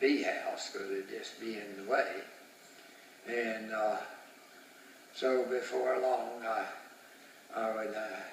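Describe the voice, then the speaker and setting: A man at a fairly slow pace, with long, frequent pauses, noticeable background noise and audible room echo. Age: 80s+. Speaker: retired beekeeper. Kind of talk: storytelling. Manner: halting.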